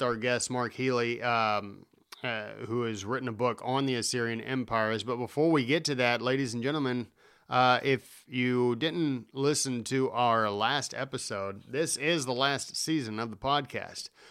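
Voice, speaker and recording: Speaking in a normal speaking voice, a man keeps a medium pitch and a moderate pace, with ordinary pitch variation. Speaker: podcast host. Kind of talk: casual interview conversation.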